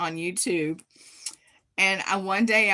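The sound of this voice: The woman's tone comes across bright and sharp.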